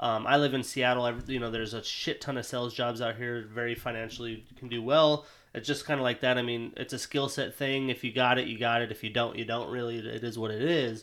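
A man with an American accent talks at a very fast pace with hardly any pauses, his medium-pitched voice monotone and flat, on a very clean recording with a silent background. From Montana, rural. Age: 20s. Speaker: podcast host. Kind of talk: casual interview chat.

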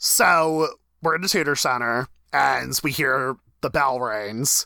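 In a dry, close sound with no echo, a man uses a normal speaking voice at a fairly high pitch with lively intonation. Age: 20s. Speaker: podcast co-host. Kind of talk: casual chat.

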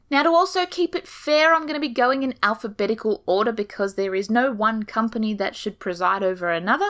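Enthusiastic and fairly quick, a woman talks in a fairly high voice that swings very widely in pitch. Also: hardly any pauses. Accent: Australian. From Australia. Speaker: ostomy nurse and podcast host. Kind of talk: informative podcast monologue, casual. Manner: chatty, humorous, enthusiastic.

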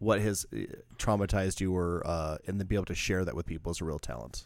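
A man talks very fast at a fairly low pitch. Vocal fry runs through his voice. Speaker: DJ and returning guest. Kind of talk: casual chat. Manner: halting, repeats words.

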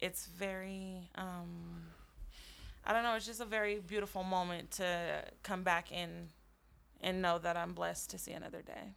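A woman's speech at a moderate pace, its loudness rising and falling sharply. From Colorado. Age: 20s. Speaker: holistic healer and Reiki practitioner. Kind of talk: casual chat. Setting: studio at a dispensary.

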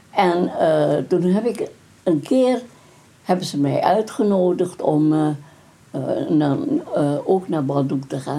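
Speech comes very slowly from this woman. Background noise is noticeable throughout. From Dutch East Indies (Indonesia), Moluccan family. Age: 90s. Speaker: grandmother interviewed about her life. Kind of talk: oral history interview. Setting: at her home.

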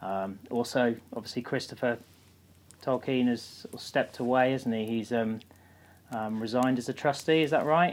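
A man speaks with a British accent at a moderate pace. His intonation stays fairly even. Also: medium pitch for a man. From UK. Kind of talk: casual chat.

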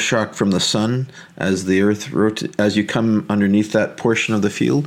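A man has an unremarkable speaking voice with a fairly low pitch. He keeps a moderate pace. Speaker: podcast host. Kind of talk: interview.

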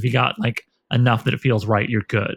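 The sound is dry and close, with no echo. A man speaks very fast at a medium pitch, somewhat breathy. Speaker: podcast host and novelist. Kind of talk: casual interview chat; scripted outro.

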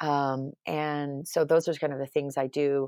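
At a moderate pace, a woman with an American accent speaks in a very deep, low voice, the sound dry and close with no echo and the background quiet. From New York. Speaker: company founder and CEO. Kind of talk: interview. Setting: office. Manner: direct.

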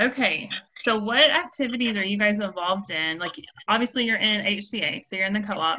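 A woman's unremarkable speaking voice, with lively intonation and a fairly quick pace. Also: fairly high pitch for a woman. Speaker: podcast host. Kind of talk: casual interview chat. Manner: warm, encouraging.

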